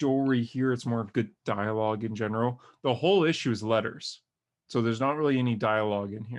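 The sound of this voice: An unforced reading voice sounds against a quiet background.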